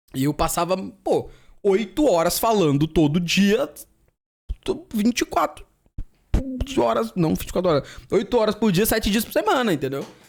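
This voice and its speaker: Very wide pitch swings, a moderate pace, and long, frequent pauses. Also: man, high pitch for a man. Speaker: streamer reacting to videos. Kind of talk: casual chat. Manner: calmer, shouts less than before.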